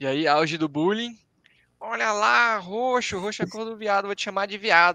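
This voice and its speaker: A man with a high, bright, sharp voice speaks at a moderate pace against a quiet background. His voice is raised and projected, with lively intonation. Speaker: advertising designer and art director. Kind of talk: casual live-stream chat.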